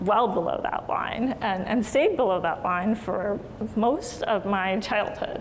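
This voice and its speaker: A woman with a General American accent speaks at a moderate pace and fairly high pitch with ordinary pitch variation, with audible room echo and noticeable background noise. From Maryland, US. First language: Hindi. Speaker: physician. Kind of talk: lecture. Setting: lecture hall with audience.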